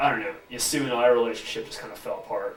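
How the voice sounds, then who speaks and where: Audible room echo and noticeable background noise surround a man speaking in a monotone, flat way. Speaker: researcher making misconduct allegations. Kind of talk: heated discussion. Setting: university police office. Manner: hesitant, filler-heavy.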